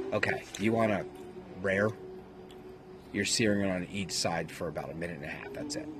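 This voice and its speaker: Amid noticeable background noise, a man with an American accent speaks with lively intonation and long, frequent pauses. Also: fairly low pitch for a man, fairly quick pace. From US South. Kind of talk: casual chat.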